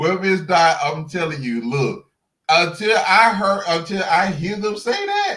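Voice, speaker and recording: The voice is raised and projected, bright and sharp, with an animated tone, ordinary pitch variation and a fairly slow pace. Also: man, high pitch for a man. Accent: strong Southern US. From Alabama, Birmingham. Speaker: YouTube guest commentator. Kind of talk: casual chat.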